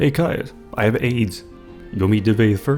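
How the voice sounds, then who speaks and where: With music playing in the background, a man speaks at a moderate pace in a fairly low voice. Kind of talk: video game commentary.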